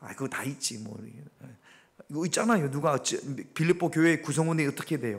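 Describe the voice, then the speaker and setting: This is a man with an ordinary speaking voice. His pitch is fairly high, with ordinary pitch variation. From Gyeongsang region, South Korea. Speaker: pastor. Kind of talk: interactive Bible study sermon. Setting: church. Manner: conversational, questioning the congregation.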